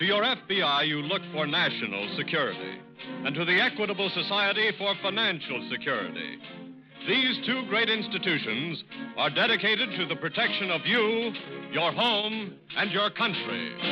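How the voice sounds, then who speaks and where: With music in the background, a high-pitched man speaks at a moderate pace and very even loudness. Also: lively intonation. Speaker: radio narrator. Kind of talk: radio show opening and sponsor announcement. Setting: vintage radio studio broadcast.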